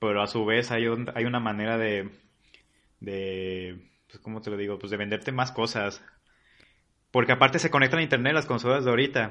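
With a bright, sharp tone, a man talks with ordinary pitch variation, big swings in loudness and long, frequent pauses over a quiet background. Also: medium pitch for a man, fairly quick pace. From Mexico, Colima. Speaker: freelance animator. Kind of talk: casual chat.

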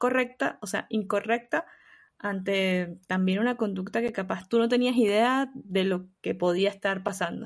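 Against a quiet background, a woman with an ordinary speaking voice talks at a fairly slow pace, her medium pitch showing ordinary pitch variation. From Venezuela. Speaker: podcast co-host. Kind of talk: casual chat.

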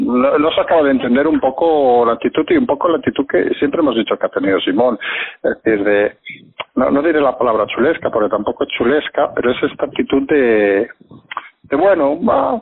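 A man talks at a fairly quick pace with very even loudness. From Catalonia, Spain (Barcelona). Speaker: political commentator. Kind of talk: casual political discussion. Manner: halting, with repetitions.

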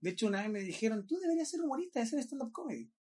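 This man's voice has an extremely high pitch. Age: 20s. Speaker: podcast host. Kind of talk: casual chat.

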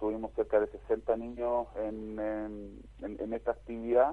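The man talks at a fairly slow pace. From Chile. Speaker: tennis foundation director. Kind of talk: radio interview. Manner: halting.

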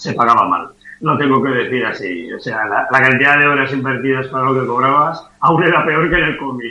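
A man talks in an unremarkable speaking voice at a moderate pace. His medium pitch shows ordinary variation. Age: 60s. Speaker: comic artist. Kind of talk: interview.

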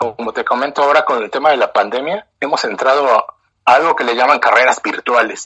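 In a Mexican accent, a man talks at a fairly high pitch with ordinary pitch variation. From Mexico. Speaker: running club founder. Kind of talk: interview.

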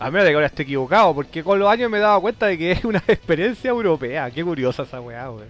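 With music in the background, a man with a Chilean accent speaks in an animated tone at a very fast pace and high pitch, with hardly any pauses, very wide pitch swings and big swings in loudness. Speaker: podcast host. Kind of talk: casual chat.

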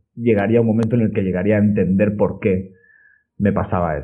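A man with an unremarkable speaking voice talks in a fairly low pitch with fairly even intonation. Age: 30s. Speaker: personal trainer and podcaster. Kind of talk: interview conversation.

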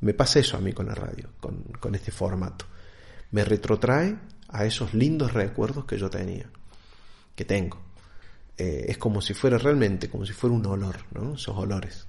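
A man with a fairly low pitch speaks at a moderate pace, somewhat breathy, with ordinary pitch variation. He leaves long, frequent pauses. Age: 40s. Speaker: podcaster. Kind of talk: solo podcast monologue.

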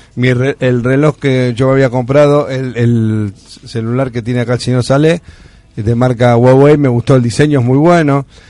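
Speaking in a Rioplatense accent, a man with a medium-pitched voice keeps his intonation fairly even. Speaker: radio host. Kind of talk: casual chat.

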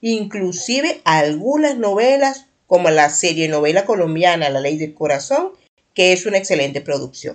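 A woman speaks with a fairly low pitch. Her voice makes very wide pitch swings. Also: moderate pace. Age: 50s. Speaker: podcast host. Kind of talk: solo podcast monologue.

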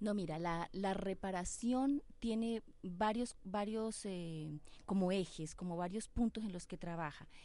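A woman's medium-pitched, dark and mellow voice at a fairly slow pace, with ordinary pitch variation against a quiet background. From Colombia. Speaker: refugee committee representative. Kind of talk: radio interview. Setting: radio studio.

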